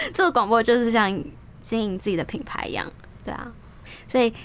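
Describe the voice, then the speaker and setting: A woman speaks with a fairly high pitch. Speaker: guest host, radio program host. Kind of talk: casual chat. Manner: lively.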